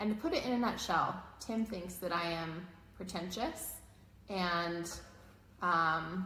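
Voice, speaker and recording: Speaking at a very slow pace with long, frequent pauses, a woman with a fairly low voice is heard through audible room echo and noticeable background noise. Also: ordinary pitch variation. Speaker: marriage coach. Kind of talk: casual chat. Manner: loud.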